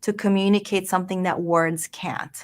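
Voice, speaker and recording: Ordinary pitch variation in a Spanish accent. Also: woman. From Venezuela (born Mexico, Mexican-Colombian family). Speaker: design and communication instructor. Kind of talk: interview. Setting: online broadcast.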